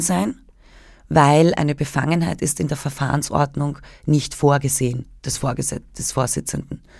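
A very clean recording with a silent background of a woman's very deep, low voice with ordinary pitch variation. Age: 30s. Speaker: journalist. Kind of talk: radio interview.

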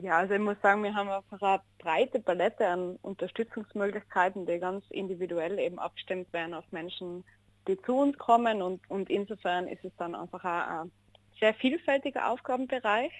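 An unremarkable speaking voice from a woman at medium pitch and moderate pace, ordinary pitch variation, dry, close sound with no echo and a quiet background. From Austria, Innsbruck (Tyrol). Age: 20s. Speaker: social worker. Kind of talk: radio interview.

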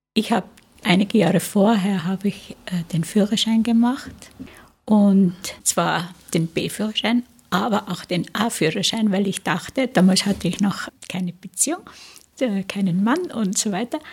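A woman's somewhat breathy voice moves at a fairly slow pace, with pitch varying in an ordinary way. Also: medium pitch for a woman. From Tyrol, Austria. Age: 80s+. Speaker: interviewee sharing childhood memories. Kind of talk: oral history interview. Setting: studio.

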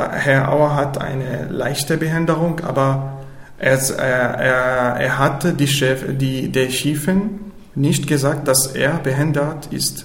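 With audible room echo and noticeable background noise, a man talks very slowly with fairly even intonation. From Syria. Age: 20s. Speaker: refugee, amateur theater participant. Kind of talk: interview. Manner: halting.

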